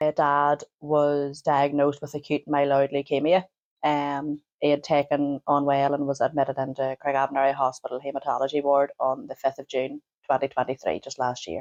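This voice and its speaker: At a moderate pace, a woman speaks in a very deep, low voice with monotone, flat intonation, the sound dry and close with no echo. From Northern Ireland. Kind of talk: interview answer. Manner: hesitant, emotional.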